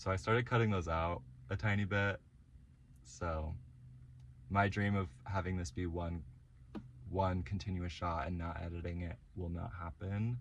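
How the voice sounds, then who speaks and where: Somewhat breathy and very deep, a man's voice moves at a moderate pace with ordinary pitch variation and long, frequent pauses. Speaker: vlogger. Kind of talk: casual vlog monologue. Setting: in a parked car. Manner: frequent ums and likes.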